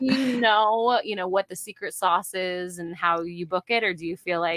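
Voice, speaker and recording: With a plain, everyday voice, a woman speaks at a medium pitch and a fairly quick pace. Her pitch variation is ordinary, and the sound is dry and close, with no echo. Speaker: voice actor. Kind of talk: podcast interview host.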